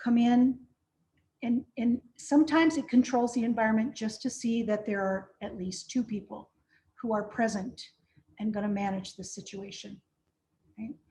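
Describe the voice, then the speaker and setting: At a moderate pace with long, frequent pauses, a woman speaks in a fairly high pitch with a dark, mellow, somewhat breathy tone, ordinary pitch variation, and big swings in loudness. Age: 60s. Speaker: de-escalation trainer. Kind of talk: virtual training presentation.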